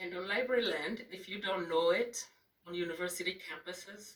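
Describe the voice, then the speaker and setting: Speaking at a medium pitch, a woman has a non-native accent. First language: not English. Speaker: librarian giving memorial remarks. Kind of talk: memorial speech. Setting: reception with audience.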